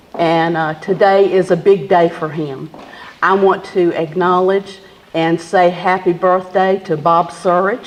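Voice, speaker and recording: A woman with a Southern US accent and fairly low pitch speaks at a fairly slow pace with fairly even intonation over noticeable background noise. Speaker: historical society board member, program emcee. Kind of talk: event emcee speech. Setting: commemoration event with live audience, microphone.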